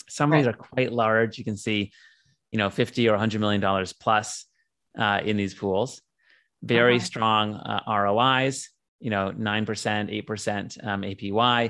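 An unremarkable speaking voice from a man, fairly low in pitch, fairly slow, with fairly even intonation over a quiet background. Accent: General American. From US West Coast, San Diego. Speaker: tech company CEO. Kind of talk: interview.

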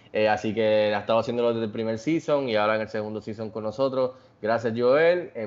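His voice is medium in pitch and varies normally. The man speaks very rapidly. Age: 40s. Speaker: podcast host. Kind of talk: casual chat.

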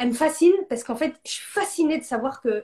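Her pace is fairly quick. The woman speaks in an animated tone. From northern France. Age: 30s. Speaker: entrepreneur. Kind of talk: interview.

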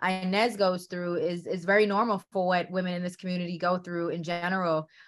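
This woman has an ordinary speaking voice with an American accent, pitched in the medium range. She talks at a moderate pace on a very clean recording with a silent background. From New York City. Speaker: film director. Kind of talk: interview.

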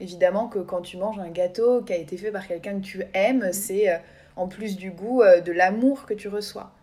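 A woman's dark, mellow voice at medium pitch, with fairly even intonation and big swings in loudness. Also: moderate pace. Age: 20s. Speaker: podcast co-host. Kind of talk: casual chat. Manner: hesitant, many fillers.

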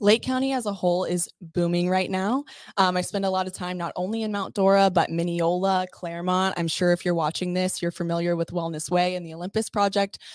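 A woman with an ordinary speaking voice and an American accent talks at a medium pitch and fairly quick pace, with hardly any pauses and fairly even intonation. The recording is very clean, with a silent background. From Texas. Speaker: real estate agent. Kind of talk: casual chat.

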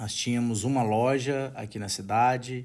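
A man with a normal speaking voice and fairly even intonation. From Brazil, Minas Gerais interior (Unaí). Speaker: podcast host and retail franchise owner. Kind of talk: podcast self-introduction monologue.

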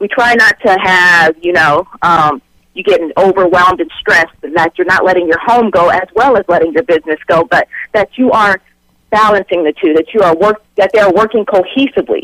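A woman speaks in a plain, everyday voice at a fairly quick pace. Her pitch is medium with ordinary pitch variation, and the sound is dry and close with no echo. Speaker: certified life coach. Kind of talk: radio interview, motivational talk. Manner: warm, upbeat, motivating.

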